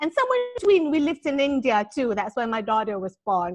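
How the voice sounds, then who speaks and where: A woman with an American accent speaks at a high pitch, her tone animated and her pitch swinging very widely. The sound is dry and close, with no echo. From Malaysia. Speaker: author and business coach. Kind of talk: podcast interview.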